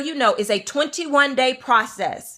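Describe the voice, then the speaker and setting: A woman speaks slowly-ish at a fairly slow pace in a high pitch, her tone animated, bright and sharp. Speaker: spiritual coach. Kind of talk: motivational talk with event pitch.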